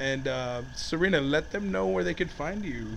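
Here is a man with an ordinary speaking voice. He talks at a moderate pace and a fairly high pitch. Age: 30s. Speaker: podcast host. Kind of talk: casual chat.

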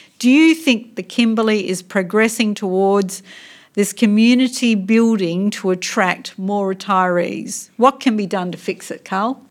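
With an Australian accent, a woman speaks at a fairly slow pace and medium pitch, with ordinary pitch variation. The recording is very clean, with a silent background. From Western Australia (Port Hedland, Pilbara). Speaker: political party interviewer. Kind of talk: interview.

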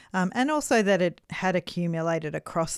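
A woman with an Australian accent, fairly low in pitch, at a moderate pace. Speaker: podcast host. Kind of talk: casual chat.

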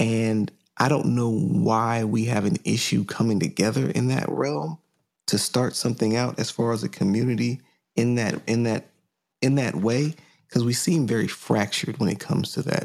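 An ordinary speaking voice from a man at medium pitch and moderate pace, lively in intonation and very even in loudness. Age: 30s. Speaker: podcast host and painter. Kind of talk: casual chat.

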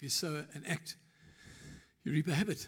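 Somewhat breathy, a man speaks at a fairly quick pace with a fairly high pitch and ordinary pitch variation. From South Africa, Eastern Cape. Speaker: pastor. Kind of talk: sermon. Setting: church. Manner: conversational.

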